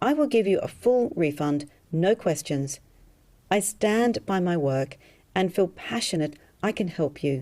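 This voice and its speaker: In an Australian accent, a woman speaks at a medium pitch and a fairly slow pace, her tone dark and mellow with very wide pitch swings. The recording is very clean, with a silent background. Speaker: hypnotherapist selling an alcohol reduction program. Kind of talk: sales pitch.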